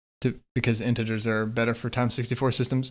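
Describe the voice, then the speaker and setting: A man with a medium pitch is heard on a very clean recording against a silent background. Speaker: programming learner vlogger. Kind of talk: self-quiz study session, explaining aloud. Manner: fast, self-correcting with stumbles.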